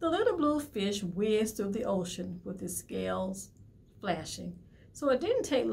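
Just a natural reading voice

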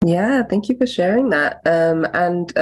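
An unremarkable speaking voice, a woman's, fairly low in pitch, with lively intonation at a fairly slow pace. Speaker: podcast producer and facilitator. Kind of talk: casual chat.

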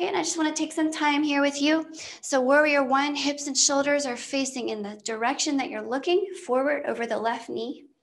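The voice moves at a fairly quick pace with ordinary pitch variation and a warm, soothing tone. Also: woman, high pitch for a woman. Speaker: yoga instructor. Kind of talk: live-streamed guided yoga class, cueing poses and breath. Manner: warm, soothing, friendly with casual asides. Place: home room.

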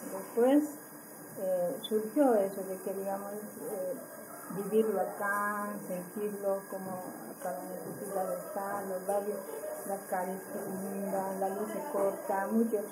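Very slow speech over loud background noise. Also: woman. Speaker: community organizer in a social movement. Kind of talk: interview answer. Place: meeting room. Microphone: camera far.

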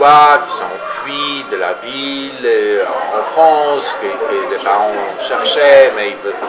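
A man speaks at a fairly slow pace with a medium pitch, and background noise is clearly audible. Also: few pauses.

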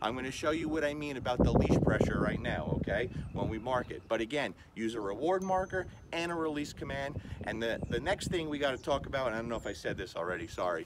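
Very fast speech from a man, with noticeable noise in the background. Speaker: dog trainer. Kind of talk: tutorial. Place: street. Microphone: camera far.

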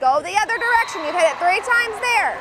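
Dry, echo-free female speech beneath loud background noise. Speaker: volleyball coach. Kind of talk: timeout team talk. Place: stadium. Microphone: lapel.

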